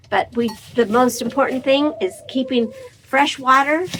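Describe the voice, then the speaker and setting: A woman's high-pitched voice against noticeable background noise. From small town (Pearston), later Warsaw. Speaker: small-farm vlogger, retired teacher. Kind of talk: casual vlog, answering viewer questions. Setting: in a barn.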